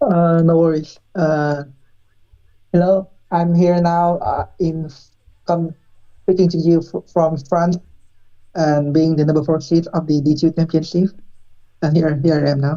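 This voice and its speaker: At a fairly slow pace, a woman talks with long, frequent pauses, a monotone, flat intonation and a fairly low pitch. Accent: non-native. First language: not English. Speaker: esports player. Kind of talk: interview answers on live stream. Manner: halting.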